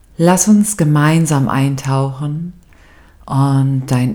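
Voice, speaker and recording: A woman speaks very slowly in a very deep, low pitch with a dark, mellow tone. Her calm, soothing delivery has ordinary pitch variation. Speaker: meditation guide. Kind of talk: guided meditation. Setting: studio with background music. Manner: slow, calm and soothing, with long pauses; soft, gentle and warm, intimate.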